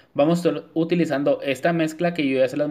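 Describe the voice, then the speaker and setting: At a fairly quick pace, a man with a fairly high pitch and a dark, mellow tone speaks with fairly even intonation. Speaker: nail artist. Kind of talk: tutorial. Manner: talks the same off camera, not a put-on voice.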